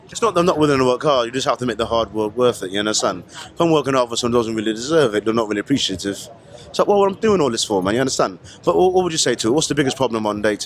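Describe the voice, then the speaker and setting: A man's very fast, lively-intoned speech at a medium pitch, with noticeable background noise. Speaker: street interviewer. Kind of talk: casual street interview. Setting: outdoor festival.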